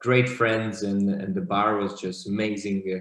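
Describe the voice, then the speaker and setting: Moderate-paced speech with a Slovak accent. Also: man. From Slovakia. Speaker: bartender. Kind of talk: interview.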